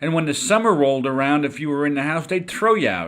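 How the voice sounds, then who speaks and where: In a very clean recording with a silent background, a man talks at a moderate pace with ordinary pitch variation. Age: 60s. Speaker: education consultant and podcast host. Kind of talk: podcast talk on teaching. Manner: conversational, with some stumbles.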